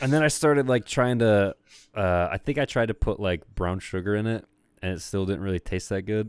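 Recorded very cleanly with a silent background and a dry, close sound free of echo, a man with a plain, everyday voice speaks at a fairly quick pace, his fairly low pitch showing ordinary variation. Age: 30s. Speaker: podcast co-host. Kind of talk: casual chat.

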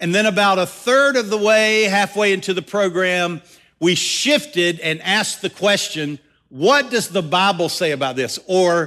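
A man uses a raised, projected voice with a bright, sharp tone and high pitch. He moves at a fairly slow pace. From US South. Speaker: pastor. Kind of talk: sermon. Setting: church.

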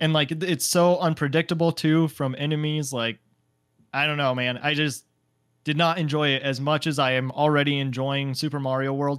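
Pitched fairly high, a man talks at a moderate pace in a plain, everyday voice. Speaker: gaming podcast co-host. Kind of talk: casual chat.

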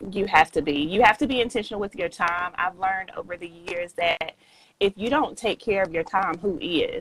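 With a Southern US accent, a woman talks at medium pitch. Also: ordinary pitch variation, moderate pace. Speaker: author and entrepreneur. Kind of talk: podcast interview.

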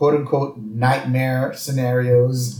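A man speaks at a very slow pace in a somewhat breathy voice. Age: 40s. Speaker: podcast host. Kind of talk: casual chat.

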